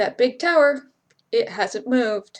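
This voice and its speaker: Using a put-on character voice, a woman speaks at a high pitch in a guttural tone, with lively intonation at a fairly slow pace. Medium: read story.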